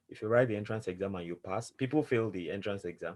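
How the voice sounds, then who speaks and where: The delivery is fairly quick. Pitch variation is ordinary. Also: man. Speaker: scholarship recipient and speaker. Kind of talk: online information session presentation. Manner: fast.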